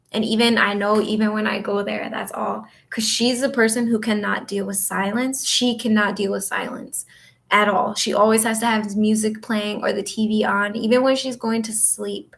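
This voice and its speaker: A woman with an American accent speaks at a moderate pace in a somewhat breathy, monotone voice with flat intonation. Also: fairly high pitch for a woman. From northern Michigan. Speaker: astrologer and reiki healer. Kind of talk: casual livestream chat. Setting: home office livestream.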